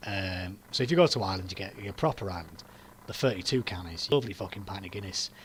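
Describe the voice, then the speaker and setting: This man speaks with a Yorkshire accent at a fairly low pitch. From northern England, Yorkshire. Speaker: political commentator streamer. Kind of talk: casual livestream chat. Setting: livestream with webcam.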